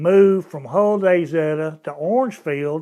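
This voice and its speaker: Very slow speech in a Texan accent, with ordinary pitch variation. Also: man. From Texas, Houston area. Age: 70s. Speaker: former high school football player. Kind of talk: interview storytelling.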